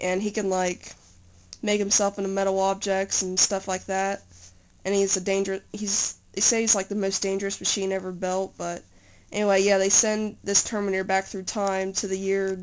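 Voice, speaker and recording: A woman at a moderate pace, with monotone, flat intonation. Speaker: home video maker. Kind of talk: casual talk to camera. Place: home room. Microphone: phone near.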